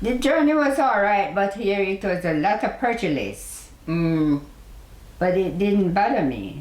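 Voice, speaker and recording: A woman with a Jamaican accent at medium pitch, very wide pitch swings, very even loudness and a fairly slow pace, against noticeable background noise. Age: 80s+. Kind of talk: interview answer.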